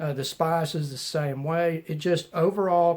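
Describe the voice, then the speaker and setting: Someone speaks at a fairly slow pace in a Southern US accent on a very clean recording with a silent background. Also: man. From US South. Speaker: knife reviewer YouTuber. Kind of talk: casual vlog chat and beer review. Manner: casual, filler-heavy.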